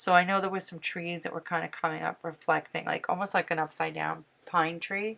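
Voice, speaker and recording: The speaker is soft-spoken, with monotone, flat intonation at a fairly quick pace. The recording is very clean, with a silent background. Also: woman. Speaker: painting teacher. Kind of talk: tutorial. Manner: casual.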